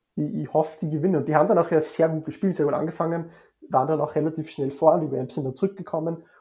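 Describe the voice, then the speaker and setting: This man talks at a very fast pace in a fairly high pitch, keeping his intonation fairly even. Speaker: sports blogger. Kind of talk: casual chat.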